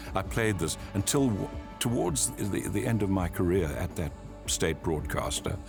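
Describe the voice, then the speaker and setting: Music plays in the background. A man speaks over it at a moderate pace with a fairly low pitch. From South Africa. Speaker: voice artist and broadcaster. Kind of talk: interview answer.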